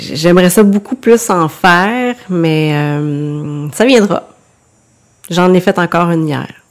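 A woman with a Quebec accent speaks at a very slow pace. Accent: Québécois French. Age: 40s. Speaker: author and porcelain painter. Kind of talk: casual interview.

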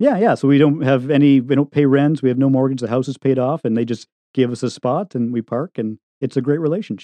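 This man talks at a very fast pace, his medium pitch moving with ordinary variation. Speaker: tiny house builder and podcaster. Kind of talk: casual interview chat. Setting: remote recording with studio mic.

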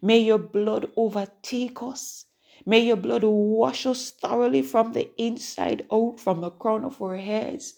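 Against a quiet background, a warm-toned voice moves at a very slow pace with ordinary pitch variation. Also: woman, fairly high pitch for a woman. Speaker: prayer podcast host. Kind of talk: fervent prayer. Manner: fervent, insistent, repetitive; warm, encouraging.

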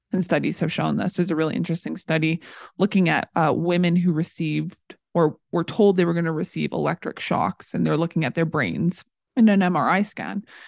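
A woman's fairly low voice with vocal fry and fairly even intonation, at a fairly quick pace, dry and close with no echo, against a quiet background. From Canada, small-town Saskatchewan. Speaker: psychology student and former personal trainer. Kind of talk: casual interview.

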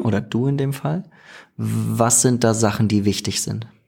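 A man's dark, mellow tone at a fairly slow pace. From Germany. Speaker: podcast host. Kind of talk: casual interview chat. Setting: studio, evening recording.

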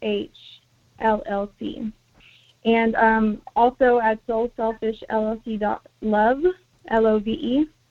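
Her voice fairly high in pitch, a woman speaks with fairly even intonation. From US, Mexican American family. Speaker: healer and panelist. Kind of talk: panel discussion.

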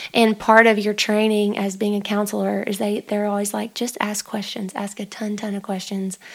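Her intonation is monotone and flat. The woman speaks at a moderate pace and a medium pitch. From Arkansas. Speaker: musician and counselor, co-host friend. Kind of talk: casual chat.

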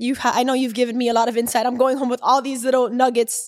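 A woman speaks in a high pitch with monotone, flat intonation. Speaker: book podcast host. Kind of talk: casual interview.

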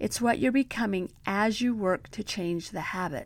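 This is a normal speaking voice. It moves at a moderate pace with lively intonation. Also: woman. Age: 50s. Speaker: self-help podcast host. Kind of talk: motivational podcast monologue.

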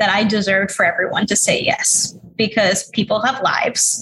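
A woman talks with an American accent. Her tone is bright and sharp, her pitch fairly high. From New York City, Queens. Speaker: author and entrepreneur. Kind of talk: interview.

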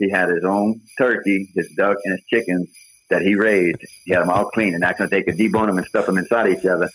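A man's very fast delivery at a fairly low pitch, in a monotone, flat intonation. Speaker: butcher shop owner. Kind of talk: phone interview. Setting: phone call.

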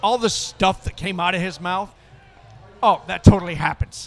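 A man with an American accent and a high pitch talks over noticeable background noise. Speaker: veteran and corporate veterans group leader. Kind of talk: casual interview chat. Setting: outdoors at a charity event.

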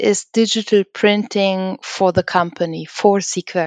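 A woman with an unremarkable speaking voice talks at a fairly slow pace and a medium pitch. The sound is dry and close with no echo, over a quiet background. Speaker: podcast host. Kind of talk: interview.

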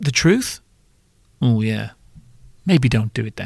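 Vocal fry runs through lively intonation in a dry, close sound with no echo. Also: man. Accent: British. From Britain. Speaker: podcast host, former bar owner in hospitality. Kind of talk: comedic monologue podcast. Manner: animated.

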